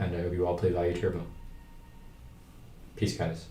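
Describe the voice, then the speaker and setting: With music in the background and audible room echo, a man speaks at a very deep, low pitch. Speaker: card game streamer and coach. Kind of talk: livestream tutorial. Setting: livestream. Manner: casual.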